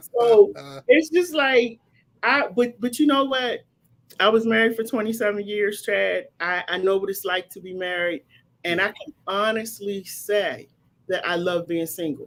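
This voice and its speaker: A woman speaks at a fairly slow pace, her loudness swinging widely. Her pitch sits in the middle range, with lively intonation. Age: 50s. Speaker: online talk show host. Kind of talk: casual chat. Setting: live stream. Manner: animated.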